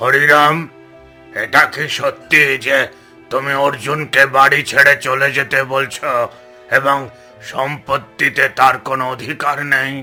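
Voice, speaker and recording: A cartoonish character voice from a man, raspy and fairly high-pitched, at a fairly slow pace over clear background music. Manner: measured, formal.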